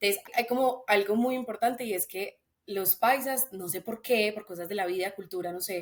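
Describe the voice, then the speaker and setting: Her pitch medium and its variation ordinary, a woman speaks at a moderate pace with big swings in loudness. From Colombia, Antioquia (paisa), raised in Bogotá. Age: 20s. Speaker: podcast guest, engineering student. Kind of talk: casual chat.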